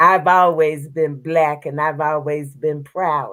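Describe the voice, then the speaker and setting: In a Southern US accent, a woman is talking. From US South. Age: 70s. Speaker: civil rights activist. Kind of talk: interview testimony. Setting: livestream.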